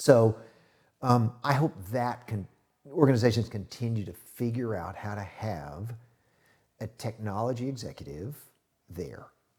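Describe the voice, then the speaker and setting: A man at a medium pitch speaks at a fairly slow pace, somewhat breathy, with ordinary pitch variation. Long, frequent pauses break up his speech, and his loudness swings widely. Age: 60s. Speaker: IT strategy consultant, former music industry executive. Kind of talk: podcast interview.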